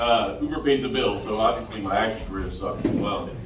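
Noticeable noise behind a man speaking at a moderate pace. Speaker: stand-up comedian. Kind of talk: stand-up comedy set, first open mic, crude jokes. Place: stage.

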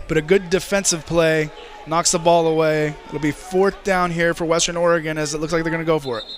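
The speaker sounds relaxed and enthusiastic, with music in the background. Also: man, high pitch for a man. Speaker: color commentator. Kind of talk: live sports commentary, analyst remarks. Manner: conversational, relaxed analyst, enthusiastic.

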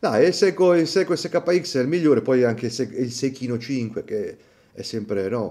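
A man speaks in a dark, mellow tone at a moderate pace. His pitch varies in an ordinary way over a quiet background. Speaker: YouTube watch channel host. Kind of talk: casual reaction commentary. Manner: animated. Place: home room.

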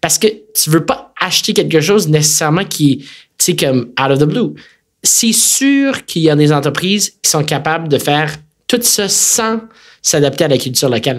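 A man with a Quebec accent speaks at a moderate pace with lively intonation. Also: fairly high pitch for a man. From Quebec City, Quebec. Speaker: tech company executive. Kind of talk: interview conversation.

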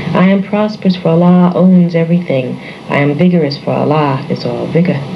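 A woman with an American accent at a fairly low pitch, fairly quick pace and ordinary pitch variation, amid noticeable background noise and audible room echo. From New York City. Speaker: psychology lecturer. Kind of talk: reading aloud of affirmations. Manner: calm, measured.

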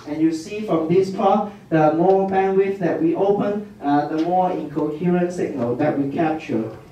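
A man at a fairly slow pace with hardly any pauses, light background noise and audible room echo. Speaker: physicist; lecturer. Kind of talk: lecture. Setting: stage with audience. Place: hall.

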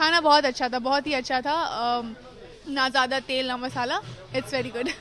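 Amid crowd noise in the background, a woman speaks at a fairly slow pace and high pitch with fairly even intonation, the sound dry with no echo. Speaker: guest. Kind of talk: interview answer. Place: cafe. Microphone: handheld.

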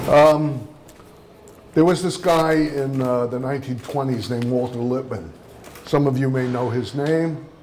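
A man at medium pitch and a fairly slow pace, with ordinary pitch variation, long, frequent pauses, audible room echo and noticeable background noise. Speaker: media studies professor. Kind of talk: lecture.

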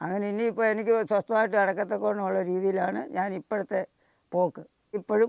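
This man's voice sits high in pitch, with fairly even intonation. The recording is dry and close, with no echo. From Kerala, Kollam district (Kottarakkara). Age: 70s. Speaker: farm worker and cyclist. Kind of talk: interview, personal storytelling.

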